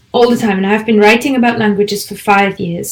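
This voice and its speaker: With a German accent, a woman talks at a fairly high pitch with fairly even intonation. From Germany. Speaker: language teacher and podcaster. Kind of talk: online conference presentation.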